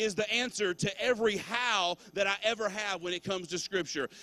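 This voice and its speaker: A man speaks in a raised, projected voice at a fairly quick pace, his tone both warm and bright, sharp. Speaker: pastor. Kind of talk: sermon at a church Christmas gathering, closing with prayer and benediction. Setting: church with a live congregation and online viewers. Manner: warm, fervent, and exhortative, urging the congregation to respond aloud; conversational and informal, with filler words and casual asides like 'man'.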